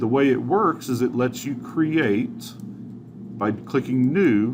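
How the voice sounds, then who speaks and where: This man's voice sits at a medium pitch and moves at a very slow pace. Room echo is audible. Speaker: teacher. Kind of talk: tutorial.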